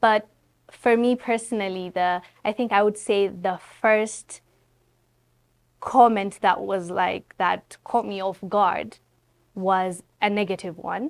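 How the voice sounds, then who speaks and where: Recorded very cleanly against a silent background, a woman at medium pitch talks at a very slow pace with fairly even intonation and long, frequent pauses. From Ethiopia. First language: Amharic. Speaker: content creator. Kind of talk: interview conversation.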